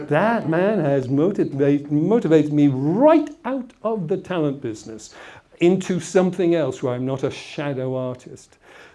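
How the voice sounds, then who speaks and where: His intonation lively, a man speaks at a moderate pace with a fairly high pitch. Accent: English. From England, Essex. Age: old. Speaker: motivational speaker. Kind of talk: motivational talk with anecdotes.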